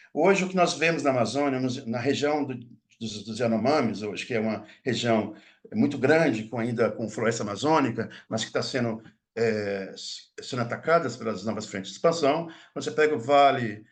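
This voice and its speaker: Audible room echo follows a man speaking at a medium pitch, with ordinary pitch variation and big swings in loudness. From Minas Gerais, Brazil (Mucuri Valley). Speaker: linguistics professor. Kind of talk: lecture. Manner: fast; halting, many false starts.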